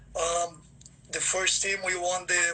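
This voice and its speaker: Amid noticeable background noise, a man with a high pitch uses a raised, projected voice at a fairly slow pace. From Brazil. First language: Portuguese. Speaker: football scout. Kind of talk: livestream interview. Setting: Instagram livestream. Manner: many fillers and repeats.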